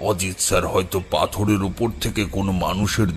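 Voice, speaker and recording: A man's put-on character voice, fairly low-pitched and fairly slow, with clear music in the background. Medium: audio drama. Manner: low, measured, ominous.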